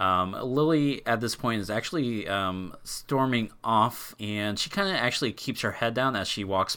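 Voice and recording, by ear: A natural voice, reading aloud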